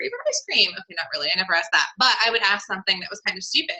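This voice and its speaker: Lively intonation runs through this voice with a Southern California accent. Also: woman. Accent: valley girl sound, self-described. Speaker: online clothing seller hosting a webinar. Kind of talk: webinar presentation. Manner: animated, chatty with fillers.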